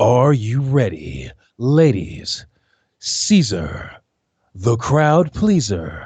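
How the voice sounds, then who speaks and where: A put-on character voice at a very slow pace, with very wide pitch swings and long, frequent pauses. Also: man, medium pitch for a man. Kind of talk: commercial announcer. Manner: hyped, showman-like.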